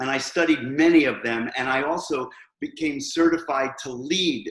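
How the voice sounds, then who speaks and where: Fairly even intonation and a moderate pace come with a New York accent. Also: man, fairly high pitch for a man. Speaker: hairstylist and educator. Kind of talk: interview.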